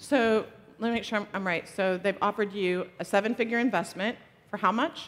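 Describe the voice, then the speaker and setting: This woman has a medium pitch. Her pace is fairly quick. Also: ordinary pitch variation. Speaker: entrepreneur and angel investor giving a conference talk. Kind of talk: conference talk with audience Q&A. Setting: stage with live audience. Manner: animated, energetic.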